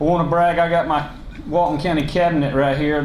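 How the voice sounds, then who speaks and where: Speaking at a fairly quick pace in a Southern US accent, a man sounds monotone and flat, with audible room echo and noticeable background noise. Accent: Southern US (Georgia). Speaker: county commission chairman. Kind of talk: public speech. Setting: luncheon hall with audience. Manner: loud; unscripted, halting with fillers.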